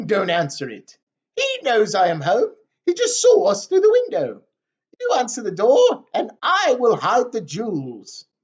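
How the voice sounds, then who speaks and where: At a moderate pace, a man performs a put-on character voice. His pitch is extremely high. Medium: read story.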